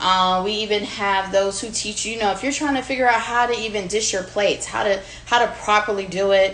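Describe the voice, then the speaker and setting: A woman with an American accent and an unremarkable speaking voice talks at a medium pitch and a fairly quick pace, with hardly any pauses. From Virginia Beach, US. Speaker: home cook, food creator. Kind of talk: cooking demonstration. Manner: casual, chatty with fillers.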